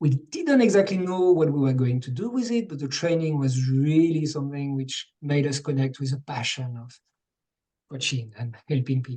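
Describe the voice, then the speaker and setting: A man with a French accent speaks at a moderate pace in a fairly high pitch, his dark, mellow tone somewhat breathy and his pitch varying in an ordinary way. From France. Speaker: coach and webinar co-host. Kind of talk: online workshop introduction.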